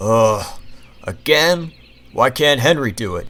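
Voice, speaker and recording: A man uses a put-on character voice at medium pitch. He speaks at a fairly slow pace. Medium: read story. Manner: pompous, haughty.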